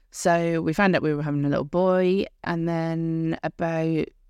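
With an English accent, a woman speaks against a quiet background. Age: 30s. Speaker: podcast host. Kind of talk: personal storytelling monologue.

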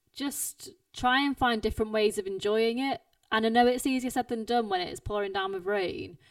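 A high-pitched woman's voice with a British accent, at a moderate pace. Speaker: podcast host and runner. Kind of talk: casual chat. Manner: casual, conversational.

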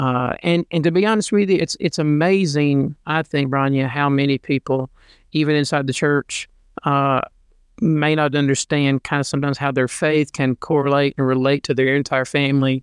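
With an ordinary speaking voice, a man talks at a moderate pace in a fairly high pitch with fairly even intonation and very even loudness, the sound dry and close with no echo against a quiet background. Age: 40s. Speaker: pastor and podcast co-host. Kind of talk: casual chat. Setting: home, on a love seat.

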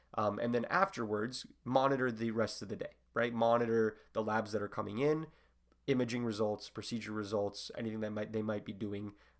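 A man at a fairly quick pace, fairly low in pitch with fairly even intonation, on a very clean recording with a silent background. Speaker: medical student podcast host. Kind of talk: casual solo explainer monologue. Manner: fast.

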